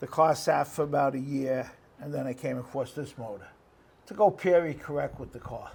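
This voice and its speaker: A man's fairly high voice with vocal fry, a fairly quick pace and big swings in loudness. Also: ordinary pitch variation. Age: 70s. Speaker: car seller. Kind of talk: casual chat. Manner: halting, many fillers.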